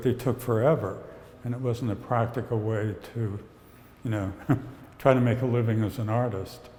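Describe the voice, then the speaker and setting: The delivery has a moderate pace and a monotone, flat intonation. Long, frequent pauses and audible room echo mark the clip. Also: man. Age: 70s. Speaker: painter. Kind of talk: casual chat.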